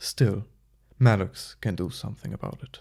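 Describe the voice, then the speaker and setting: This man uses a put-on character voice at a moderate pace and a fairly low pitch. The recording is very clean with a silent background. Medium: read story. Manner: gruff, clipped.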